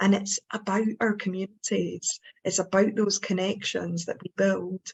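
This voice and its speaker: A woman of medium pitch speaks at a moderate pace with vocal fry. Her intonation is monotone and flat. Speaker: suicide prevention trainer, speaker. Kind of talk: panel discussion on webinar.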